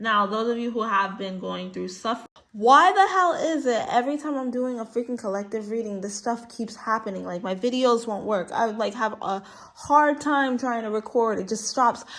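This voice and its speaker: The voice belongs to a woman with a fairly high pitch. She talks at a moderate pace. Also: ordinary pitch variation. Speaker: tarot reader. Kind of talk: spiritual reading monologue. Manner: animated.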